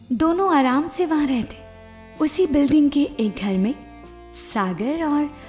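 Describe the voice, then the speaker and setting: Music plays in the background. A woman speaks over it with lively intonation. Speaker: storyteller. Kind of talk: read story.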